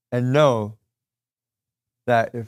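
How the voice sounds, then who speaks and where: A man's medium-pitched voice with ordinary pitch variation, very cleanly recorded over a silent background. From US Northeast. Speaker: real estate investor and coach. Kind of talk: motivational talk. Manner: fast.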